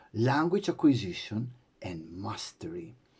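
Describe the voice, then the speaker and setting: A somewhat breathy man's voice at medium pitch, with very wide pitch swings. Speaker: English teacher. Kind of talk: tutor self-introduction to students.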